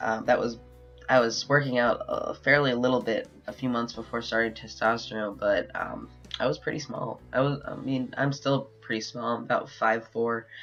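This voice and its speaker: Music plays behind a man who keeps a moderate pace. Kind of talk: casual video diary. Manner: rambling, halting with fillers.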